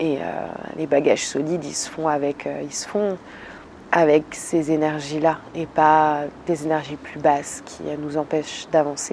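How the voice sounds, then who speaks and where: Flat, monotone speech from a woman at a fairly slow pace, with big swings in loudness and noticeable background noise. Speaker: YouTuber, relaxation content creator. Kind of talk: casual vlog monologue. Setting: outdoors in a garden. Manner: hesitant, many fillers.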